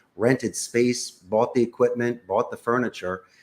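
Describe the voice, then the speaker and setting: On a very clean recording with a silent background, a man with a Philadelphia accent talks at a moderate pace. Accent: Philadelphia American English. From US Northeast, Philadelphia. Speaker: call center CEO. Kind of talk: interview.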